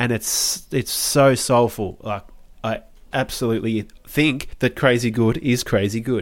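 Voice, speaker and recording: A man's normal speaking voice at medium pitch, fairly slow pace and fairly even intonation, on a very clean recording with a silent background. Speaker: music podcast co-host. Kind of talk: casual chat.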